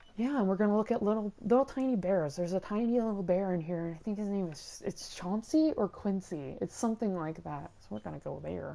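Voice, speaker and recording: A woman at a medium pitch talks at a fairly quick pace with lively intonation and hardly any pauses. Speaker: video game streamer. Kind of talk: live gameplay commentary. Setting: livestream from home. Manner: not shouting, calm; hesitant with many ums.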